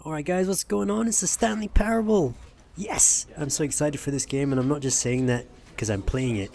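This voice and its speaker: Noticeable background noise sits behind a man speaking at a fairly quick pace. His fairly high voice moves through very wide pitch swings. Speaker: gaming youtuber. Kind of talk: let's play commentary.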